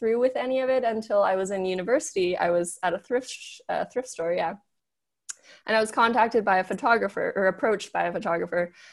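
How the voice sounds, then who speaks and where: In a very clean recording with a silent background, a woman with a General American accent and an unremarkable speaking voice talks at a fairly quick pace, her fairly high pitch varying in an ordinary way. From Los Angeles, US. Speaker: fashion model and health coach. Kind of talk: casual interview.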